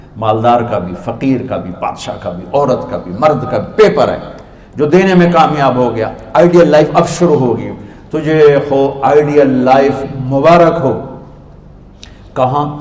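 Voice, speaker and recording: With noticeable background noise behind him, a man speaks at a fairly high pitch and with lively intonation. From Pakistan, Punjab. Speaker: Islamic preacher. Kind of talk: religious sermon.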